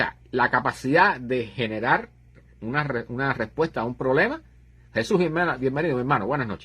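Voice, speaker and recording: A man uses an ordinary speaking voice at a medium pitch with lively intonation. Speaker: livestream host on astronomy and science. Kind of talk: live stream chat.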